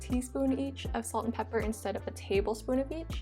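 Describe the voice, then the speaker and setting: A woman talks at a fairly quick pace in an upbeat tone. Music plays in the background. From Hawaii. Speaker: vegan food YouTuber. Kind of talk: cooking video voice-over. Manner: casual, upbeat.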